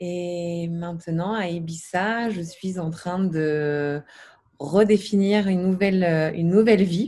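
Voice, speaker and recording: A woman speaks at a very slow pace with a fairly low pitch. Her tone is dark and mellow, and her intonation is fairly even. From Paris region, France. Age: 30s. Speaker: massage therapist, coaching client. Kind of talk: testimony. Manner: halting, many fillers.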